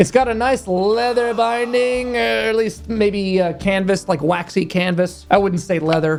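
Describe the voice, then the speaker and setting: The speaker sounds animated, talking at a moderate pace with music playing in the background. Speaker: fragrance YouTuber. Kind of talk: product review.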